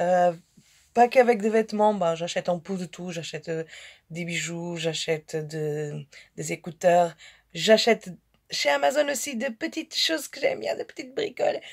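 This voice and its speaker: On a very clean recording with a silent background, a woman speaks at a medium pitch and moderate pace, with very wide pitch swings and big swings in loudness. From Portugal. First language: Portuguese (speaking French). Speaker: fashion haul vlogger. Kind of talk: casual haul vlog. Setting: her bedroom. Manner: halting, many fillers and repetitions.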